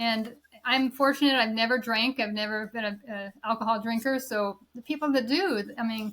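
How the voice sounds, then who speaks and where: A woman speaks in a plain, everyday voice, fairly high in pitch. Her intonation is fairly even and her pace moderate. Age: 60s. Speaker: professional golfer. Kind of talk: podcast interview.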